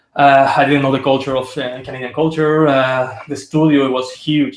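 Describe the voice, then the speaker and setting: A man with a Spanish accent talks at a fairly quick pace and medium pitch. His intonation is monotone and flat. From Spain. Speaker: concept artist. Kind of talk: interview. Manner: halting.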